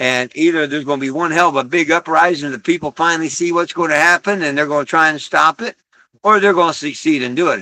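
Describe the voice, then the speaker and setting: A man with an American accent speaks in a fairly high pitch, with ordinary pitch variation and an animated tone. His bright, sharp voice sounds dry and close with no echo, over a quiet background. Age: 60s. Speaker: livestream host. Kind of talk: casual livestream monologue. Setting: live stream.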